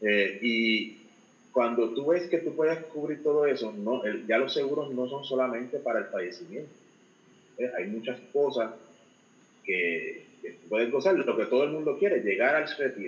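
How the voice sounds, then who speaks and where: A man's normal speaking voice, pitched fairly high, with lively intonation and a moderate pace. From Puerto Rico. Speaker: financial advisor. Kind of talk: interview.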